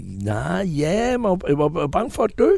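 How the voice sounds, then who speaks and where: The man's tone is dark and mellow. His pitch swings very widely. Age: 70s. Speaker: entertainer. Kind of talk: interview. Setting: outdoors on a terrace.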